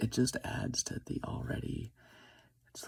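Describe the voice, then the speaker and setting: Soft-spoken, a man talks at a very slow pace. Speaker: vlogger. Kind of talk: personal confessional monologue. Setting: at home, early morning. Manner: hesitant.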